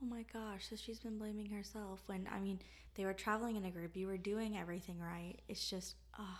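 A woman of medium pitch with an American accent, speaking at a fairly quick pace amid noticeable background noise. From Florida. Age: 20s. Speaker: true crime podcast co-host. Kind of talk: casual chat. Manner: animated.

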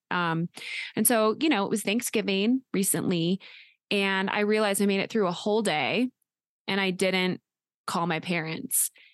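A woman at medium pitch and a moderate pace, with ordinary pitch variation, long, frequent pauses, a quiet background, and a dry, close sound with no echo. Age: 30s. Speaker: podcast co-host, adoptee. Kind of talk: casual chat.

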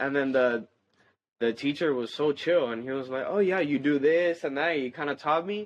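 Against a quiet background, an ordinary speaking voice moves at a moderate pace with ordinary pitch variation. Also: man. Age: young. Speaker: metal band bassist. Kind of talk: casual chat.

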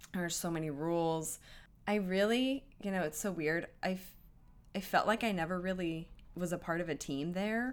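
At a moderate pace and with ordinary pitch variation, a plain, everyday voice comes through on a very clean recording with a silent background. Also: woman, fairly low pitch for a woman. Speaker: friend and former intern. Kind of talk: casual chat.

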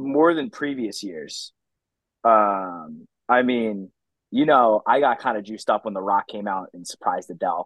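At a moderate pace, a man speaks with big swings in loudness, and the sound is dry and close with no echo. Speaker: podcast host. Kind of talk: casual chat.

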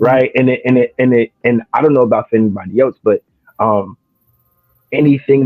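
A man with a New Jersey accent at a medium pitch and fairly quick pace, with music in the background. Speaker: spoken word poet. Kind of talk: casual chat.

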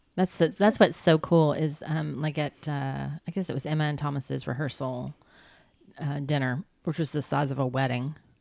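A woman with a Southern US accent speaks at a moderate pace, her pitch very deep and low. She has vocal fry and ordinary pitch variation. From US South. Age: 50s. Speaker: podcast host. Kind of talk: casual chat.

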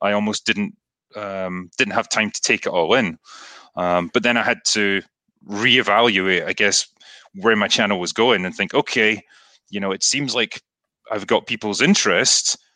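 A man with a Scottish accent and a fairly low voice speaks in a bright, sharp tone at a moderate pace, with fairly even intonation, long, frequent pauses, and a dry, close sound with no echo against a quiet background. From Scotland. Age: 30s. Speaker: author and YouTuber. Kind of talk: casual interview.

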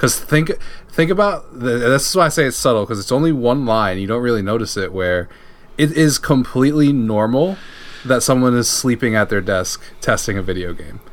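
Against noticeable background noise, a man talks at a fairly quick pace with a medium pitch and lively intonation. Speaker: podcast co-host. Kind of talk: casual chat. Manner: animated.

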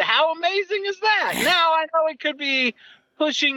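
A man speaks in a raised, projected voice. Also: dry, close sound with no echo. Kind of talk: casual chat.

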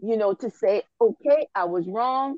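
The voice is a plain, everyday voice, heard at a fairly slow pace. The sound is dry and close, with no echo. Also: woman. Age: 40s. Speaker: podcast co-host. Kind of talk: casual panel discussion. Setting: remote call.

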